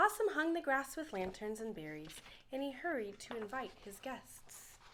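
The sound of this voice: A woman at a fairly high pitch with big pitch swings, a fairly bright tone and a moderate pace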